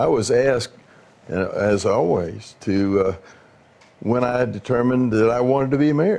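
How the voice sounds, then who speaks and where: With an American accent, a man talks at a moderate pace. His medium pitch makes very wide swings. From US South. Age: 80s+. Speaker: former mayor. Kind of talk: reminiscing. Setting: living room.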